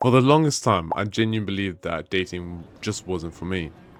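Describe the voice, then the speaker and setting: Music plays in the background as a man talks fairly quickly. His very deep, low pitch shows ordinary variation. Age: 20s. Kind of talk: casual personal story to camera.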